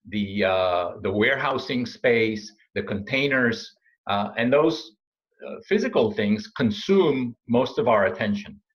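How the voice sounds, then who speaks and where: With a non-native accent, a man speaks fairly slowly at medium pitch, his intonation lively. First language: not English. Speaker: supply chain consultant and speaker. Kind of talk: interview. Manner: halting, many fillers.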